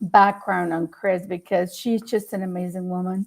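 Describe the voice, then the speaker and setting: A woman with a Spanish accent speaks at a moderate pace in a very clean recording with a silent background. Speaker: talk show host. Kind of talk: casual interview chat. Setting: live stream.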